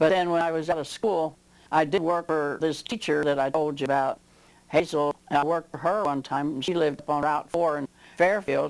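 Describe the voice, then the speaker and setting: With a Midwestern American accent, a woman with a very deep, low pitch talks at a fairly quick pace and fairly even intonation in a very clean recording with a silent background. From southwest Ohio. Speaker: local elder interviewee. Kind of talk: oral history interview. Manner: halting.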